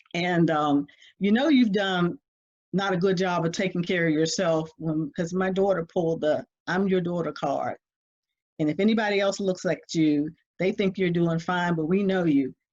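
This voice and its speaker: A woman with an ordinary speaking voice talks at a moderate pace, fairly low in pitch with ordinary pitch variation. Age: 60s. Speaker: family caregiver. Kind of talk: interview.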